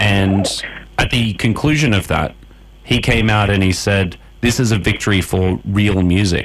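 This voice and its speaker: Over noticeable background noise, a man with an Australian accent speaks at a fairly slow pace and fairly low pitch, keeping his loudness very even. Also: ordinary pitch variation. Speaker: radio host. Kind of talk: radio interview.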